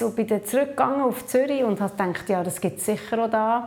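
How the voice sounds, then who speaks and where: Speaking at a fairly quick pace, a woman uses a normal speaking voice. Her pitch is fairly high and her intonation lively. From Papua New Guinea, then Switzerland. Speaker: social entrepreneur and conference speaker. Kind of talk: interview. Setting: video interview at a conference.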